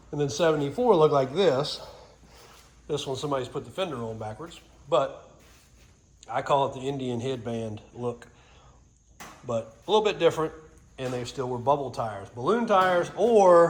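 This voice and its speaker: Somewhat breathy and fairly high in pitch, a man speaks at a moderate pace with lively intonation and long, frequent pauses. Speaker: vehicle restoration hobbyist. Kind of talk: casual walkthrough video.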